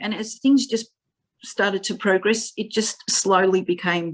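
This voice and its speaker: The speaker has an Australian accent. Pitch moves with ordinary variation. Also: woman. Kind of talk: interview. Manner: halting, word-finding pauses and repetitions.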